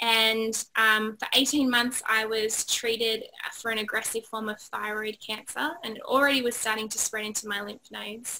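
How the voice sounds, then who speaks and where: In an Australian accent, a woman with a fairly high pitch talks at a moderate pace with monotone, flat intonation. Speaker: positive psychology trainer, author. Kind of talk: interview chat.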